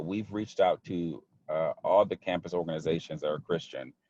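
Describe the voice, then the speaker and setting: The sound is close and dry, without any echo. A man speaks fairly quickly. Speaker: campus ministry coach. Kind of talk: group video call talk. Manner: fast; halting, many fillers and repeats.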